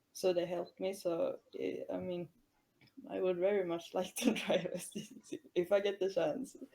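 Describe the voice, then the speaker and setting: A woman at a moderate pace with a Swedish accent and big swings in loudness. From Sweden. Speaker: racing driver. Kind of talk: live stream interview. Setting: live stream voice chat.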